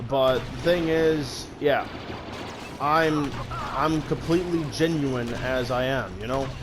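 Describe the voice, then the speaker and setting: A man speaks quietly with ordinary pitch variation. The recording has audible room echo and noticeable background noise. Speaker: gaming YouTuber. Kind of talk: gameplay commentary. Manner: loud and rowdy at times; quieter average tone now.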